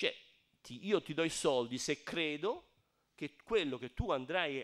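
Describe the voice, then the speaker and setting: Against a quiet background, a man with a fairly high pitch speaks at a fairly slow pace, his pitch swinging very widely. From Tuscany, Garfagnana (Lucca); Tuscany. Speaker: architect and emigration archive director; guest lecturer. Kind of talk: lecture. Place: hall.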